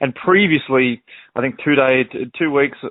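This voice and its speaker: With an Australian accent, a man speaks with ordinary pitch variation. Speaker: country singer. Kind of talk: casual chat.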